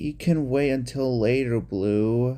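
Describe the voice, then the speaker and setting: Put-on character voice from a man, medium in pitch and at a fairly slow pace. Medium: read story.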